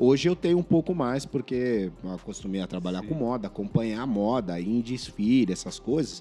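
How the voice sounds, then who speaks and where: A man's medium-pitched voice, dark and mellow in tone, at a moderate pace with lively intonation and hardly any pauses. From São Vicente, São Paulo state, Brazil. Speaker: podcast guest. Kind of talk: casual chat.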